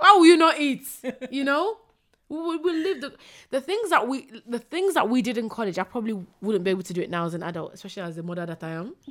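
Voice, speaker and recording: At a very fast pace, a woman talks high and animated, with very wide pitch swings and big swings in loudness. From East London. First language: not English. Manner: animated, laughs a lot.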